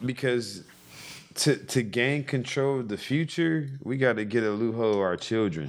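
A man speaks at a moderate pace, his medium-pitched voice showing ordinary pitch variation. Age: 30s. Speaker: crystal seller and community figure. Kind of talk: casual chat. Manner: halting.

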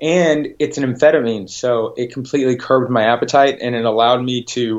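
With a plain, everyday voice, a man speaks at medium pitch and a moderate pace with fairly even intonation. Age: 30s. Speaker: health coach and addiction recovery counselor. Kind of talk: interview testimony.

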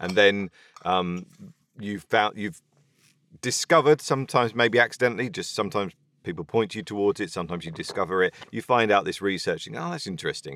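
Very fast and lively in intonation, a man's speech shows big swings in loudness in a dry, close sound with no echo, in a very clean recording with a silent background. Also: fairly low pitch for a man. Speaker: podcast host and audiobook narrator. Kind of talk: casual interview.

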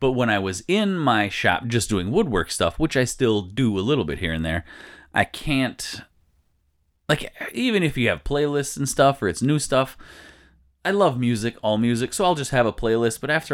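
A man speaks at a medium pitch and a moderate pace. His pitch swings very widely on a very clean recording with a silent background. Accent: American. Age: 40s. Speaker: podcast host. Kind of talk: casual chat. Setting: studio.

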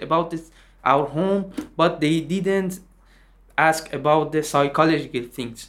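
A man speaks with a Persian accent. His pitch is fairly high, and his pace is moderate. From Iran. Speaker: refugee musician. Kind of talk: interview.

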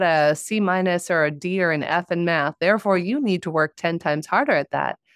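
The background is quiet. A woman talks at a moderate pace with ordinary pitch variation. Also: dry, close sound with no echo. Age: 40s. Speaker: podcast host. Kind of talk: interview.

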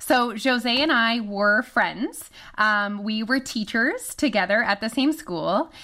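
A woman talks at a very slow pace. Her voice is fairly high, with a bright, sharp tone. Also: ordinary pitch variation. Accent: French Canadian. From Canada. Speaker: weight loss coach. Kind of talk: casual interview chat.

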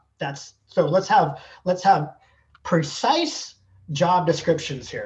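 This man's voice is somewhat breathy, and he has an American accent. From Southern California. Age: 50s. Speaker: athletic trainer. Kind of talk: interview.

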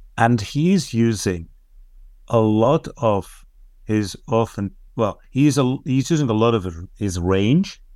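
Over a very clean recording with a silent background, a man talks at a very slow pace. His pitch is medium. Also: lively intonation. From Netherlands. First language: Dutch. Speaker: coach and trainer. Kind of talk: interview.

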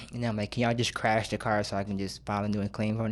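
A man with an American accent talks at a very fast pace, medium in pitch and in a monotone, flat intonation. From Michigan, Grand Rapids. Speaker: director of a recovery program. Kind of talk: casual chat.

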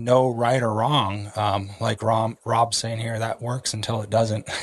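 The pace is moderate. The background is quiet. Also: man. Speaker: podcast host. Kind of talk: casual interview chat. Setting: video call.

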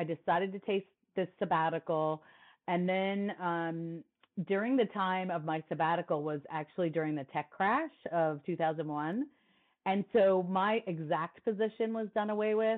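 Speaking with an American accent, a woman has an unremarkable speaking voice at a fairly low pitch. Her pace is fairly slow, with ordinary pitch variation. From New Jersey. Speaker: sommelier and wine speaker. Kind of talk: interview conversation.

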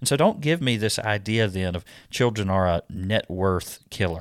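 Against a silent background, the recording is very clean. A man talks at moderate speed, his pitch varying in an ordinary way. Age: 30s. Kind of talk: scripted monologue. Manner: hesitant with frequent fillers.

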